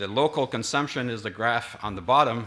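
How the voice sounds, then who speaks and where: Speaking at a fairly quick pace in a Quebec accent, a man has a fairly low pitch and a bright, sharp tone. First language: French. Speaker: industry association representative. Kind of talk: conference presentation. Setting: conference stage with audience. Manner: halting, many fillers.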